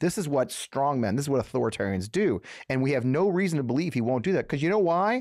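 Talking at a very fast pace with a fairly high pitch, a man with an American accent makes very wide pitch swings while holding very even loudness, in a dry sound with no echo and a quiet background. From US Midwest, St. Louis area, Missouri; Missouri. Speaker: political podcast host; political show host. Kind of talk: solo political commentary. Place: studio. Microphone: studio mic.

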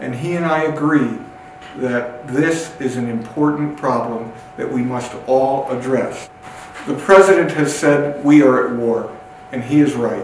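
A man speaks at a fairly slow pace with ordinary pitch variation. Audible room echo and light background noise surround him. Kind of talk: public health address. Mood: serious, urgent concern. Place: empty room.

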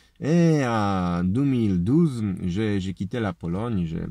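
Against a quiet background with a dry, echo-free sound, a man with a fairly low voice and a dark, mellow tone swings very widely in pitch. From Poland. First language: Polish (speaking French). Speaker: political video blogger, construction worker. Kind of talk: political lecture; casual vlog chat. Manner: halting. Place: car. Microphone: phone near.

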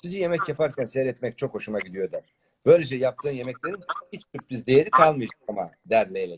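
Against a quiet background, an unforced reading voice is heard.

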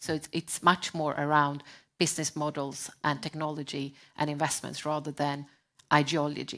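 A woman with a Swedish accent speaks at a very deep, low pitch in a bright, sharp tone. The background is quiet. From Sweden. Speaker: sustainability advisor; panelist. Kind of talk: panel discussion. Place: stage. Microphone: headset.

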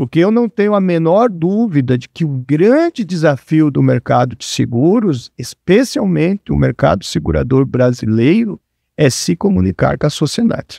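At a moderate pace and with hardly any pauses, a man speaks in a fairly high pitch with very wide pitch swings and a dark, mellow tone, the sound dry with no echo against a quiet background. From Brazil, Paraná (Cascavel). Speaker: insurance industry executive. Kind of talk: interview. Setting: studio. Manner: halting. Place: studio. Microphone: studio mic.

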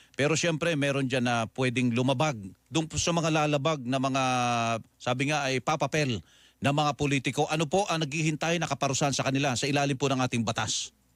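A man with an ordinary speaking voice, fairly high in pitch, at a fairly quick pace and with fairly even intonation. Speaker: radio host. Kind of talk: broadcast interview.

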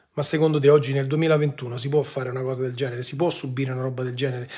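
A man talks at a very fast pace in a fairly high pitch. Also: quiet background. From Rome, Italy; Italy. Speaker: online commentator. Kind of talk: live-stream monologue. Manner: animated. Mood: indignant, earnest. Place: home room. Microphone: phone near.

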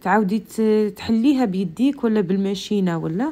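Speaking at a fairly slow pace, a woman has a dark, mellow tone and lively intonation. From central Algeria. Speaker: cooking video creator. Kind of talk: cooking tutorial. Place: kitchen. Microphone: phone near.

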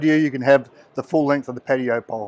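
The words come out at a very fast pace, and the sound is dry with no echo. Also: man. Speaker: product seller at stand. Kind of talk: product demonstration. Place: hall. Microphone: phone near.

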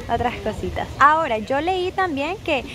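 A woman talks at a fairly slow pace. The sound is dry with no echo, with light background noise. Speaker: travel vlogger, Spanish teacher. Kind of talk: casual vlog chat. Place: street. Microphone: phone near.

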